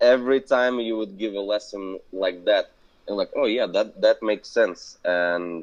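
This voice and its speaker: With a non-native accent, a man talks at a moderate pace in a fairly low pitch and fairly even intonation. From Belarus. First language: not English. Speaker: business owner. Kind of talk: interview conversation. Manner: halting.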